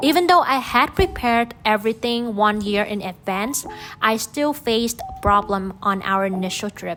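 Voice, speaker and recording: With music playing behind her, a woman speaks in a Vietnamese accent at a fairly high pitch. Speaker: pet vlogger. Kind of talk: vlog narration.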